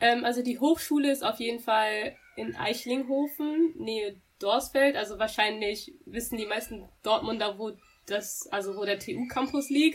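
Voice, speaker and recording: A woman speaks at a fairly slow pace and fairly high pitch with ordinary pitch variation, in an ordinary speaking voice. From Germany, Dortmund (Ruhr area). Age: 20s. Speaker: university student. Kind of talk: interview.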